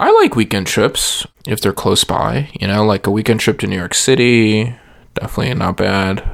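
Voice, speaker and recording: A man's plain, everyday voice with an American accent, fairly low in pitch, with ordinary pitch variation and a moderate pace. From Texas, San Antonio. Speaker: podcast co-host. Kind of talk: casual chat.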